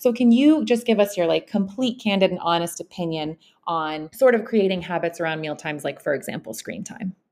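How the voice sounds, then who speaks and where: At a fairly quick pace, a woman with a plain, everyday voice talks at medium pitch with lively intonation. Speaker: podcast host. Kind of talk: casual interview.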